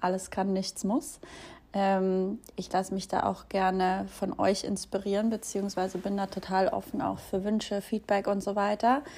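In a very clean recording with a silent background, a woman with a dark, mellow tone speaks at a medium pitch and moderate pace, her intonation fairly even. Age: 20s. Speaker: podcast host and social media creator. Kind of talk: casual solo introduction. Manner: casual with fillers and laughs.

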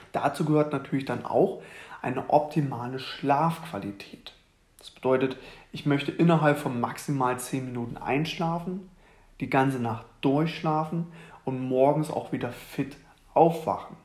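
A plain, everyday voice from a man, fairly high in pitch, at a fairly slow pace, with ordinary pitch variation and big swings in loudness. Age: 20s. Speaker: fitness coach and podcast host. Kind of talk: solo podcast monologue. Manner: casual with many fillers.

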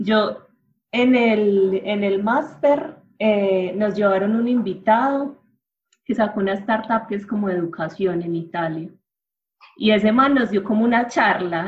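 A woman talks at a moderate pace and medium pitch, somewhat breathy, with ordinary pitch variation. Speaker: journalist. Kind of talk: interview.

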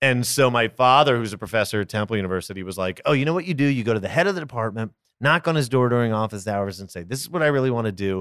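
A man with a Philadelphia accent speaks at a very fast pace and medium pitch, with lively intonation and hardly any pauses. The recording is very clean, the background silent. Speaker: actor and snack business founder. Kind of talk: casual interview chat. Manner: fast, talkative.

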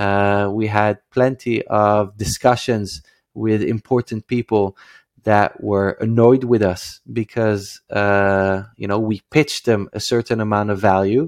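Fairly low-pitched male speech in a Dutch accent, fairly slow and fairly even in intonation, with a dry, close sound, no echo and a quiet background. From Netherlands, Amsterdam. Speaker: startup founder and CEO. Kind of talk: interview. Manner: halting, many filler sounds.

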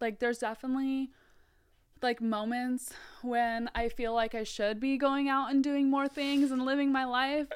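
The speech has monotone, flat intonation and a moderate pace. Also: woman, high pitch for a woman. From US West Coast, Mountain View, California (born South Africa). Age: 20s. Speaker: nutrition coach and store manager. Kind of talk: casual chat.

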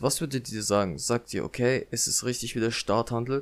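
On a very clean recording with a silent background, a man talks at a moderate pace with medium pitch and ordinary pitch variation. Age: 20s. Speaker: podcaster. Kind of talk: casual monologue. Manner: unscripted, hesitant with fillers.

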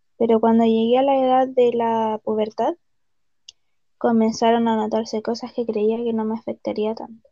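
A dark, mellow voice speaks at a moderate pace in a flat monotone, recorded dry and close with no echo. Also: woman, fairly high pitch for a woman. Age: 30s. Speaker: patient. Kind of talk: testimony.

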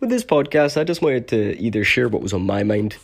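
With a Scottish accent, a man speaks fairly quickly at a medium pitch with ordinary pitch variation. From Scotland. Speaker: podcaster and live streamer. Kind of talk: casual monologue. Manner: halting.

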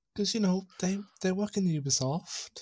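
A man speaks with a somewhat breathy voice and ordinary pitch variation, recorded very cleanly with a silent background and a dry, close sound with no echo. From northern England, Cumbria. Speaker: podcast host. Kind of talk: casual chat.

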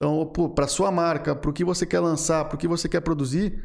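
The man's voice is high-pitched and races at a very fast pace. His intonation stays fairly even. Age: 20s. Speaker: marketing agency founder. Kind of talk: podcast interview.

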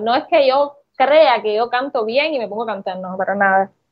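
A woman has an ordinary speaking voice, fairly high in pitch, and she talks at a fairly slow pace. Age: 30s. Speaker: content creator. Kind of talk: interview.

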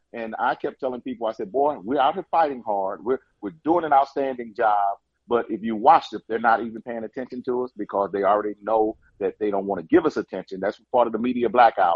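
This man has an unremarkable speaking voice, medium in pitch, moving at a fairly quick pace with ordinary pitch variation. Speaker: caller, election candidate. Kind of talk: phone call, casual talk. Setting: phone call.

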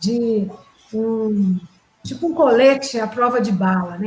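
This is a woman talking. Her pitch rises and falls in an ordinary way. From Brazil, Minas Gerais (Ubá). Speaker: HR manager, panelist. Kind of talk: casual discussion.

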